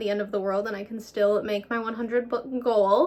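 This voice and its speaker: A woman with a fairly high pitch talks at a very fast pace with fairly even intonation. Noticeable background noise runs beneath her. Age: 20s. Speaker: book vlogger. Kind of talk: casual vlog. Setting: at home on the couch.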